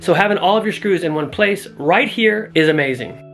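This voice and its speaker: The voice moves at a fairly quick pace. Noticeable background noise runs underneath. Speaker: woodworking YouTuber. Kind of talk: product review tutorial. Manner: casual, conversational; soft-spoken.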